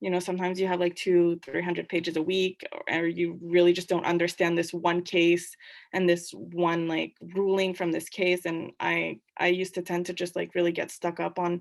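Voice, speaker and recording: On a very clean recording with a silent background, a woman with fairly low pitch speaks at a moderate pace in a monotone, flat intonation. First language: French. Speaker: law student. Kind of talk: casual Q&A talk. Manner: hesitant, many fillers.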